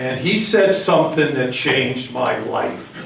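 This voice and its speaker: Recorded with audible room echo and noticeable background noise, a man with a fairly high voice talks at a fairly slow pace. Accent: American. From Massachusetts, Greater Boston (Everett). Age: 60s. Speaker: hall of fame inductee. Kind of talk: acceptance speech.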